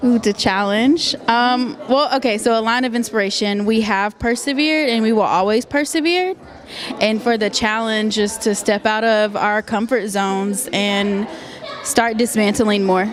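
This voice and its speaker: Against noticeable background noise, a woman speaks at a fairly high pitch with ordinary pitch variation. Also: moderate pace, very even loudness. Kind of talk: interview answer.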